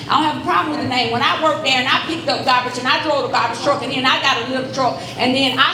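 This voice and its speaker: A woman speaks in a raised, projected voice with an animated tone. Noticeable background noise and audible room echo fill the recording. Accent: Southern US. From Alabama, Birmingham. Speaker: political candidate. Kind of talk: campaign town hall speech.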